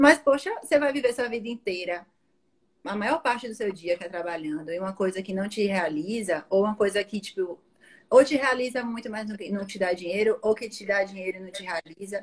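A woman's ordinary speaking voice at medium pitch and a fairly quick pace, with lively intonation and big swings in loudness. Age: 20s. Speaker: marketing professional and career-change guest. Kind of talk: interview about career change.

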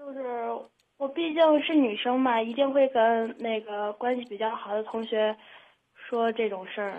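Speaking at a fairly slow pace, a woman holds a fairly high pitch. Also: ordinary pitch variation. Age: young. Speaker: caller. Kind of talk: advice call-in. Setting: phone call. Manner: halting.

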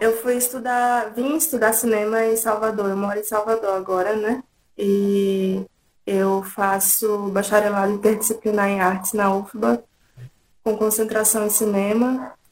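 A woman speaks at a fairly slow pace with fairly even intonation and a fairly high pitch. Hers is an unremarkable speaking voice. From interior of São Paulo state, Brazil. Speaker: filmmaker. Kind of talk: interview.

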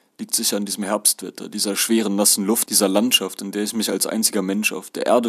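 A man at a fairly quick pace, fairly low in pitch, with monotone, flat intonation. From Germany. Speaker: author narrating his experiences as an exchange student. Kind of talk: reading aloud of a first-person travel memoir.

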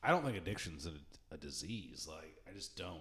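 This man talks with audible room echo in the recording. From rural area. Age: 30s. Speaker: podcast co-host. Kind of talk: casual chat.

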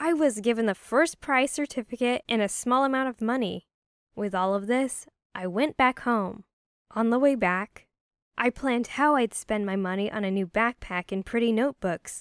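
Recorded very cleanly against a silent background, a woman with an unremarkable speaking voice and a fairly high pitch speaks at a moderate pace in a dry, close sound with no echo. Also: ordinary pitch variation. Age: young. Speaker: storyteller. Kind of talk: scripted narration.

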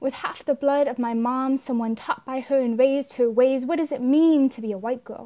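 A woman speaks in a high voice with fairly even intonation and an American accent. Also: moderate pace. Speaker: student poet. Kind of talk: performed poem reading, intimate and reflective, with a personal introduction.

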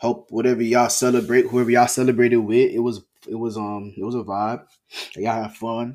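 With ordinary pitch variation, the speaker has an unremarkable speaking voice. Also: man. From Florida, Palm Beach. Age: 20s. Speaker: podcaster and student. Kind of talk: casual solo monologue.

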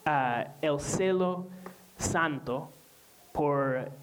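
The speaker has a non-native accent, and noticeable background noise runs under the voice. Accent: foreign accent in Spanish. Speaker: pastor. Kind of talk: sermon. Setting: church. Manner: halting, frequent repetitions and fillers.

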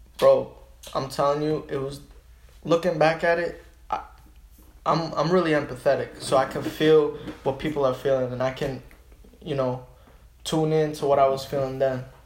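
Fairly high for a man and somewhat breathy, his voice stays monotone and flat at a moderate pace, with long, frequent pauses. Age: 20s. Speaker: small business owner. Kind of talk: casual chat.

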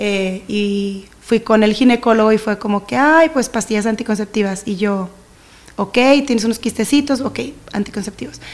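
In a northern Mexican accent, a fairly high-pitched woman talks at a moderate pace with ordinary pitch variation. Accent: northern Mexican (regio) Spanish. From Mexico, Monterrey. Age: 30s. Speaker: church leader and singer. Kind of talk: casual chat. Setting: studio.

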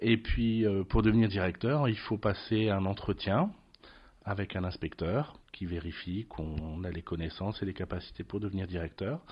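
This man has a fairly low pitch and a somewhat breathy voice. He talks at a moderate pace with ordinary pitch variation. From France, Lorraine. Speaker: school principal. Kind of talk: interview. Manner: hesitant, many fillers.

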